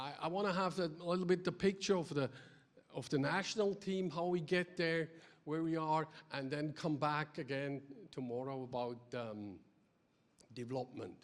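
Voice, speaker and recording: At a fairly slow pace, a man with a Swiss German accent and a fairly high pitch uses lively intonation. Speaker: ice hockey development director. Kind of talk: conference presentation. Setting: stage with audience. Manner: energetic; halting, many fillers.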